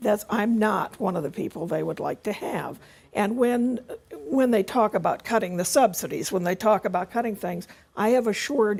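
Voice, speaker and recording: An unremarkable speaking voice delivers the words at a moderate pace. Its pitch varies in an ordinary way. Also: woman. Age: 60s. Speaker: healthcare activist. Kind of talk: panel discussion.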